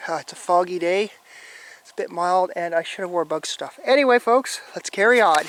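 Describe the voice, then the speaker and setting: Speech comes at a fairly quick pace with noticeable background noise. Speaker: YouTube explorer vlogger. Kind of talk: walking vlog narration. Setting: outdoors on an island. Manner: annoyed-sounding.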